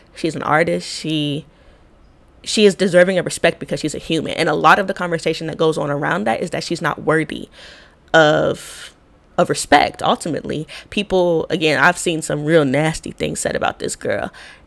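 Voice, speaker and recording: Talking at a fairly quick pace, a woman with a very deep, low voice and vocal fry sounds animated. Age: 30s. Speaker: podcast host and public health practitioner. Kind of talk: solo podcast monologue. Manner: casual, animated.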